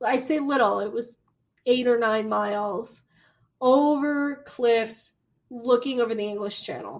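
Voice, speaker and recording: With a Midwestern American accent, a woman speaks in a fairly high voice with fairly even intonation. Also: fairly slow pace. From US Midwest. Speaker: college instructor. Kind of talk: lecture.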